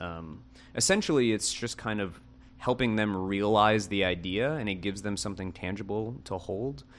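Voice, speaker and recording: In an American accent, a man talks at a moderate pace in a fairly low voice with ordinary pitch variation, with audible room echo in the recording. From US South, Kenner, Louisiana (Greater New Orleans). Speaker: architect and studio co-founder. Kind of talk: casual interview.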